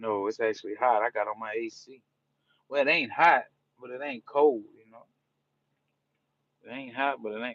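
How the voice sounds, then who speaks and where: A man with an American accent talks at a moderate pace with lively intonation, in a dry, close sound with no echo. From New Orleans, Louisiana (US South). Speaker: live streamer. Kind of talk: casual live-stream chat. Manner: relaxed, repetitive.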